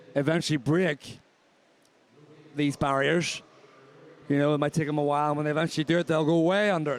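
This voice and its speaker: A man with a Northern Irish accent, very fast and flat in a monotone. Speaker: swimming commentator. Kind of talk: live commentary. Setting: aquatic centre commentary position. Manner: conversational.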